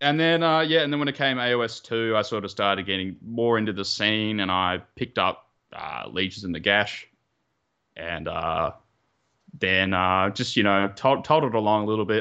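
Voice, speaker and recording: Against a quiet background, a man with an Australian accent talks at a moderate pace in a fairly low pitch, his tone bright and sharp and his intonation lively. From Australia, Melbourne. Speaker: competitive wargamer. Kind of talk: casual chat.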